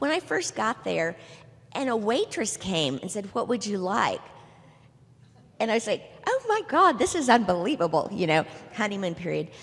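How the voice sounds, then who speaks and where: A woman's fairly high, animated voice with very wide pitch swings, moderate pace, and long, frequent pauses over noticeable background noise. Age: 60s. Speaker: retirement community resident. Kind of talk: panel discussion testimony. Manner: animated, conversational with fillers.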